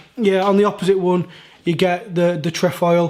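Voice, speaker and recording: The speaker talks fairly slowly in a Yorkshire accent, with monotone, flat intonation. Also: man. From Yorkshire, northern England. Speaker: sneaker reviewer. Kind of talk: product review. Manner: casual, hesitant with fillers.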